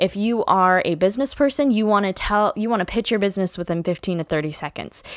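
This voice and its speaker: Talking at a fairly quick pace, a woman sounds animated, with ordinary pitch variation, a dry sound with no echo and a quiet background. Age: 20s. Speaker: podcast host; podcast host, blogger. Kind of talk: casual monologue. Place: home room. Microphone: studio mic.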